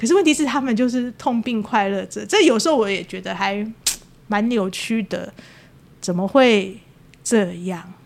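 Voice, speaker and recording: At a moderate pace, a woman speaks with lively intonation and long, frequent pauses. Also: fairly high pitch for a woman. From Taiwan, Taipei (Wanhua). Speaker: podcast host. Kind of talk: casual chat.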